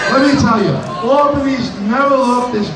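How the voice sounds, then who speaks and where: A man speaks at a moderate pace amid audible room echo and noticeable background noise. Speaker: state assemblyman. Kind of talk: rousing speech to a crowd. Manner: animated, crowd-cheering. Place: hall.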